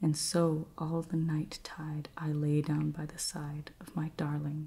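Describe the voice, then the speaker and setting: Soft-spoken and somewhat breathy, a woman with a very deep, low pitch and a dark, mellow tone speaks in a flat monotone at a very slow pace. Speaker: ASMR creator. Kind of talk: poetry reading.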